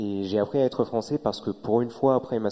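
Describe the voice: With a dark, mellow tone, a man talks at a fairly low pitch with ordinary pitch variation.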